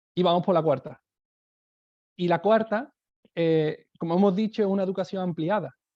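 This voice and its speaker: A man's high-pitched voice with a dark, mellow tone and a southern Spanish accent, ordinary pitch variation, moderate pace and long, frequent pauses. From southern Spain. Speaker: education speaker, teacher. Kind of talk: webinar talk. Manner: hesitant, many fillers.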